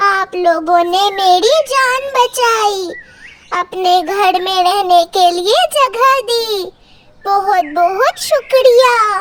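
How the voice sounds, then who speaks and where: A cartoonish character voice, female-sounding and extremely high-pitched, at a very slow pace. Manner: sugary and deceitful.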